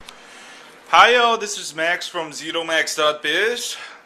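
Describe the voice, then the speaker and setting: A man speaks in a high voice with ordinary pitch variation over noticeable background noise. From South Korea, moved to California at nine. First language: Korean. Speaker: blogger. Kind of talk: casual storytelling vlog. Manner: halting, many fillers.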